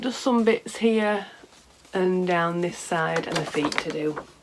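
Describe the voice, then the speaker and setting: A woman at a fairly low pitch with ordinary pitch variation, over noticeable background noise. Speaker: knitting and craft podcaster. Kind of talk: casual chat. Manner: halting.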